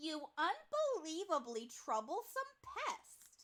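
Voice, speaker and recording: A put-on character voice, high in pitch, speaks at a very slow pace. Its pitch swings very widely. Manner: exasperated, scolding.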